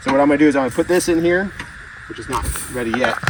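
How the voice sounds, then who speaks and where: A man's voice over noticeable background noise. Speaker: homesteader. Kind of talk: tutorial. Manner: casual.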